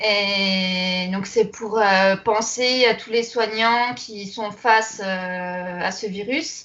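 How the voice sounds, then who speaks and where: A woman speaks at a very slow pace with a fairly high pitch and fairly even intonation. Her loudness swings widely, and room echo is audible. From Alsace, France. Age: young. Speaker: embroidery entrepreneur. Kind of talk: interview.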